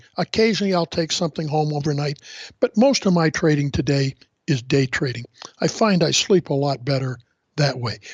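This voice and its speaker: A man talks at a fairly quick pace in a fairly high, somewhat breathy voice with ordinary pitch variation. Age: 70s. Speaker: veteran futures trader and trading author. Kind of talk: podcast interview. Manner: halting, with repetitions and fillers.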